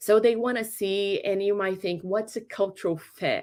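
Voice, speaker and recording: A woman's medium-pitched voice with a non-native accent and ordinary pitch variation, on a very clean recording with a silent background. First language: not English. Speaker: career workshop presenter. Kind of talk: workshop presentation. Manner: halting, with fillers and repeats.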